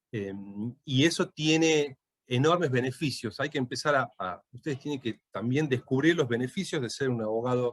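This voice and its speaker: A medium-pitched male voice at a fairly quick pace, with a dry, close sound and no echo. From Tucumán, Argentina. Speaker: lawyer and law lecturer. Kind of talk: lecture. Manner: hesitant, many fillers.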